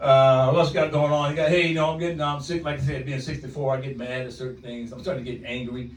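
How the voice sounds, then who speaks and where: Very fast and fairly high-pitched for a man, his voice moves with ordinary pitch variation over audible room echo and noticeable background noise. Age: 60s. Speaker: stand-up comedian. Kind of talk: stand-up. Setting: stage with audience. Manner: animated.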